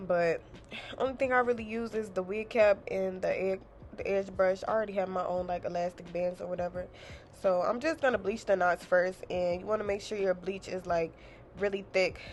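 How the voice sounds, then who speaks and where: A woman talks at a moderate pace, her medium-pitched voice keeping fairly even intonation. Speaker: hairstylist and beauty vlogger. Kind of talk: tutorial voiceover. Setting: home voiceover. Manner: casual, filler-heavy; stumbling.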